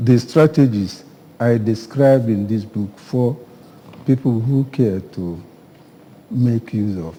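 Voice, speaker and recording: Speaking in a Nigerian accent at a very slow pace, a man uses ordinary pitch variation over noticeable background noise. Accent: Nigerian Igbo English. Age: 80s+. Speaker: author, retired educator. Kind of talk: TV interview.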